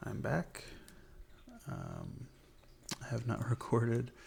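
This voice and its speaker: A relaxed, dark, mellow tone with vocal fry at a fairly slow pace. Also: man. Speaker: ASMR gaming content creator. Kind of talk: ASMR gameplay commentary, soft spoken. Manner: soft-spoken, relaxed.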